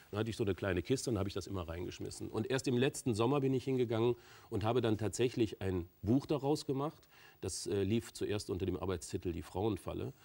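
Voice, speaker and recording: A man at a very fast pace, fairly low in pitch, with a dark, mellow tone and lively intonation. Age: 40s. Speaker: author and entrepreneur; talk show guest. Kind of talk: talk show interview. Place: studio. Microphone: lapel.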